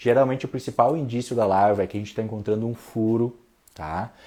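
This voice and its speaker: A man's dark, mellow voice at a fairly quick pace, on a very clean recording with a silent background. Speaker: bonsai teacher. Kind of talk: livestream talk. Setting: Instagram live. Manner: speaks softly at one point.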